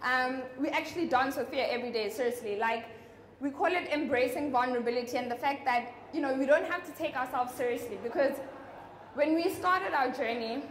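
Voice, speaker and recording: A woman speaks loudly at a fairly quick pace in a high pitch, with audible room echo and noticeable background noise. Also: ordinary pitch variation. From South Africa, North West province. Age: 20s. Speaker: social entrepreneur. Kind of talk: motivational talk.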